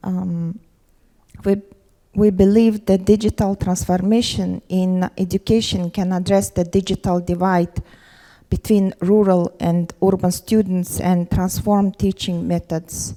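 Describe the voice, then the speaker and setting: A woman speaks in a Mongolian accent at a fairly slow pace, with monotone, flat intonation. Her tone is dark and mellow, and the sound is dry and close with no echo. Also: medium pitch for a woman. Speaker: government education official. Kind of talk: conference panel presentation. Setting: conference forum with audience. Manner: halting, many fillers.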